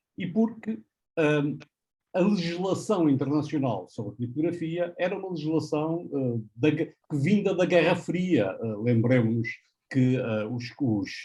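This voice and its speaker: A man's fairly high, somewhat breathy voice, dark and mellow in tone, with lively intonation, a northern Portuguese accent and a fairly slow pace. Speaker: professor. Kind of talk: panel presentation. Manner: hesitant, with fillers.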